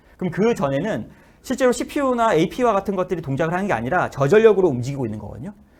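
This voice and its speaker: Very fast speech from a man, high-pitched, with very wide pitch swings. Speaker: AI technology speaker. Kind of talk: lecture. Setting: webinar.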